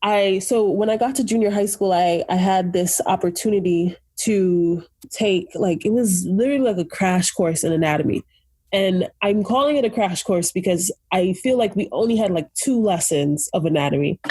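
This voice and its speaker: A woman with an American accent has a somewhat breathy, dark, mellow tone and keeps her loudness very even. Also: medium pitch for a woman, ordinary pitch variation, moderate pace, very clean recording, silent background. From Brooklyn, New York. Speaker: medical student. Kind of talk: interview. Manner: casual, filler-heavy.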